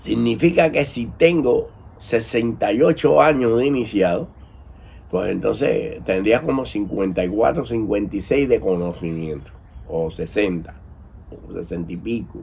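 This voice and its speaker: At a fairly slow pace, a man with vocal fry speaks in a medium pitch with very wide pitch swings. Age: 70s. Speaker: priest of Afro-Cuban religions. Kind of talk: commentary monologue.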